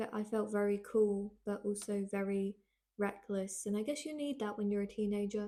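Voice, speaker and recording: Fairly even intonation in a woman's dark, mellow tone. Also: medium pitch for a woman, moderate pace. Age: 20s. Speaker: podcaster. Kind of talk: casual monologue from a script. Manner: low energy.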